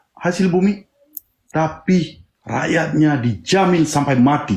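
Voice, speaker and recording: This man's intonation is lively while his loudness stays very even. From Aceh. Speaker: independence activist. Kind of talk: panel discussion. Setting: live stream. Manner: impassioned.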